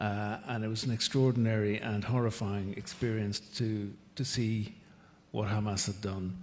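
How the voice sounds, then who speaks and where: A Northern Irish accent at a moderate pace, with monotone, flat intonation. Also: man, fairly low pitch for a man. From Northern Ireland. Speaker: ambassador. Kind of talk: panel discussion. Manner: halting.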